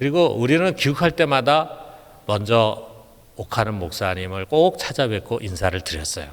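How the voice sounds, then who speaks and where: The speaker is a man with a medium pitch, talking at a moderate pace. His pitch swings very widely. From Seoul, South Korea. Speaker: pastor. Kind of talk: sermon.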